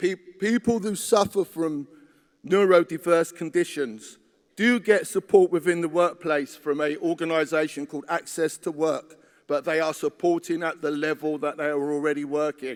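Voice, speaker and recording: A man with a plain, everyday voice talks at a moderate pace and a fairly high pitch, with ordinary pitch variation and a dry, close sound with no echo. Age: 50s. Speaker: trade union delegate. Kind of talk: conference speech. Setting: conference hall.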